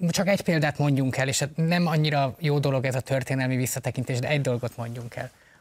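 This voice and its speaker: A man talks at a very fast pace with hardly any pauses, his fairly high voice somewhat breathy and his intonation fairly even. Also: very clean recording, silent background. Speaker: party co-leader, politician. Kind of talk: political interview.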